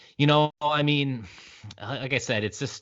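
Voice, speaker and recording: This is a man speaking. He has a Maritime Canadian accent. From Canada, Prince Edward Island. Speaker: podcast host. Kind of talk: podcast interview.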